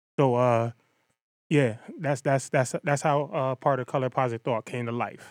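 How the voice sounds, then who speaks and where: With an American accent, a man speaks at a fairly slow pace in a medium pitch with fairly even intonation, on a very clean recording with a silent background and a dry, close sound with no echo. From Connecticut, US (Bridgeport). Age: 30s. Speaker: children's book creator and school resource officer. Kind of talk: interview. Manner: halting.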